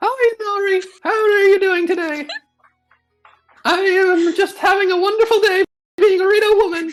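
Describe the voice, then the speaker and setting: This put-on character voice has an extremely high pitch and moves at a moderate pace. Long pauses come often. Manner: sweet, exaggerated.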